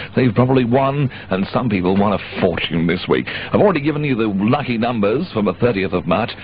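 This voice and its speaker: With noticeable noise behind him, a man speaks at a moderate pace, medium in pitch, his intonation lively. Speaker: pirate radio disc jockey. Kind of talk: radio DJ presenting show. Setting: radio broadcast aircheck, 1985.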